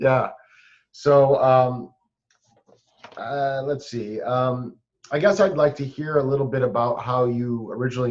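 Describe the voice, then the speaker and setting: A man talks at a medium pitch. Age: 40s. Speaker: podcast host. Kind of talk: interview. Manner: halting, many fillers.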